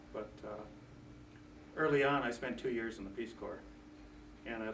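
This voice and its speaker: In an American accent, a man speaks at a fairly low pitch with fairly even intonation. Audible room echo and noticeable background noise are present. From northern Iowa, US Midwest. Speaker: volunteer tutor. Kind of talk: personal introduction. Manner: halting.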